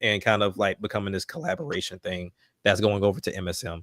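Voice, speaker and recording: The speaker has a Southern US accent and talks at a fairly quick pace. The sound is dry and close, with no echo. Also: man. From US South, Alabama. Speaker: rapper. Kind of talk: casual chat.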